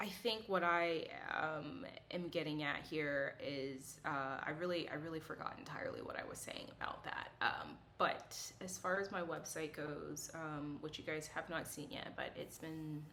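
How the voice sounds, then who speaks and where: A woman speaks in a very deep, low pitch, with ordinary pitch variation. Room echo can be heard around her voice. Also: moderate pace. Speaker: psychic medium and artist. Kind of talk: casual chat to camera. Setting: filmed on camera. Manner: rambling with many fillers.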